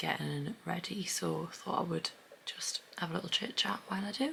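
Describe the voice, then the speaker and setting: A woman's whisper. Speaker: lifestyle vlogger. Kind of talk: casual vlog chat. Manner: speaking quietly; hesitant, many fillers.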